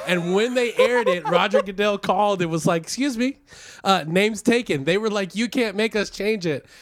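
Noticeable background noise runs under the recording. A man talks at a very fast pace with ordinary pitch variation. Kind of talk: casual chat.

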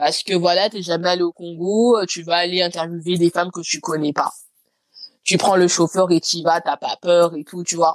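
This woman's voice sits fairly low and stays monotone and flat. She speaks at a moderate pace, and the sound is dry and close with no echo. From France, Lyon. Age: late 20s. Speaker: podcaster and corporate lawyer. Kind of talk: casual interview chat.

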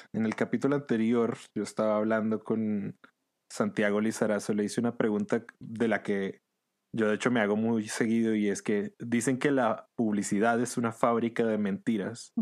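In a very clean recording with a silent background, a man speaks at a moderate pace and medium pitch with a monotone, flat intonation. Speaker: podcast host. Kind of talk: casual interview chat; scripted comedic monologue. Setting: at home during quarantine.

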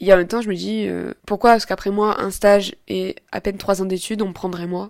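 Her pace fairly quick, a woman talks with fairly even intonation. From southern France, Avignon. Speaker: podcaster and journalism student. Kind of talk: casual monologue. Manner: halting.

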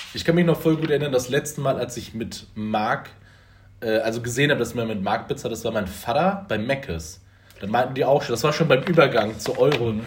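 Somewhat breathy speech moves at a fairly quick pace. The intonation is lively. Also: man, medium pitch for a man. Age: 20s. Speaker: podcast host. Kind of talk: casual chat.

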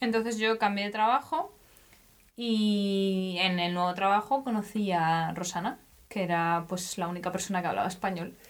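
A woman with a plain, everyday voice and a medium pitch talks at a moderate speed, her pitch varying in an ordinary way. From Spain. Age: 20s. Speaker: podcast co-host. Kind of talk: casual chat.

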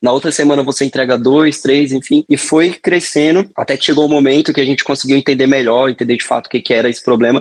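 A man's fairly high voice at a very fast pace with hardly any pauses, fairly even intonation, and a dry, close sound with no echo. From Brazil, Paraíba interior. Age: young. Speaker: entrepreneur, founder of a favela delivery company. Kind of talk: interview conversation.

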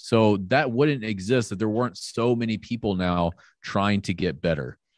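A man with an American accent, fairly low in pitch, against a quiet background. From US South, Florida (Panama City). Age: 30s. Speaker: fitness business owner. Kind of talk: casual chat.

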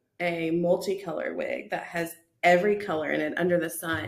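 A woman speaks at a moderate pace. Her voice is fairly low, with ordinary pitch variation. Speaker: podcast co-host. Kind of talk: casual, conversational.

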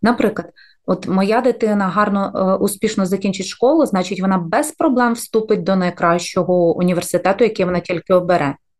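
Using an ordinary speaking voice, a woman talks at a moderate pace and medium pitch, with ordinary pitch variation and very even loudness. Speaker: podcast co-host, mother, former diplomat. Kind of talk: casual chat.

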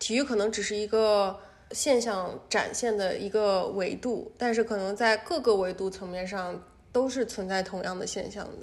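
A woman speaks in a plain, everyday voice. Her pitch is medium and her intonation fairly even. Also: moderate pace. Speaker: PhD student and tennis fan. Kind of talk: casual chat.

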